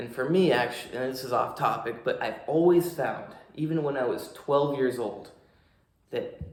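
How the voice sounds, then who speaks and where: Somewhat breathy and fairly high-pitched, a man speaks at a moderate pace with fairly even intonation amid audible room echo. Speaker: fitness coach and vlogger. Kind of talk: casual vlog talk to camera. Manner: forceful, powerful speaking when not relaxed.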